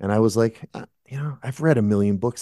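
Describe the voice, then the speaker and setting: Recorded dry and close with no echo, a man with an American accent speaks at a very fast pace. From Massachusetts, US. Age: 50s. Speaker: at-home dad, author and musician. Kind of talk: interview.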